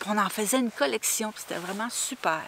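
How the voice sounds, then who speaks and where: The woman's voice has a dry sound with no echo. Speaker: travel vlogger. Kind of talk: casual vlog chat. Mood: warm, nostalgic.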